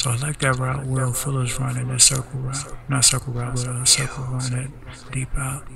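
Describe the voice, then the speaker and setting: Over noticeable background noise, a soft-spoken man talks at a moderate pace. His medium-pitched voice stays monotone and flat. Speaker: video game streamer. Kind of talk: casual gameplay commentary and tips.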